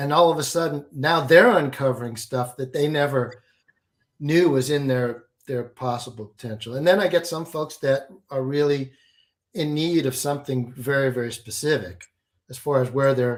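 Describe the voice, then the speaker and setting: A man with a fairly high pitch speaks at a moderate pace in a plain, everyday voice, with ordinary pitch variation. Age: 60s. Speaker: alchemy and business coach. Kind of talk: interview.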